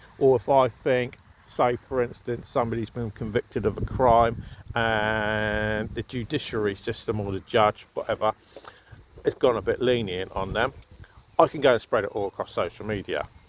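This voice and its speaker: With a southern English accent, a man of medium pitch talks at a moderate pace with fairly even intonation. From southern England, Southampton. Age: 40s. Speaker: vlogger. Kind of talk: casual opinion monologue. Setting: outdoors at an allotment.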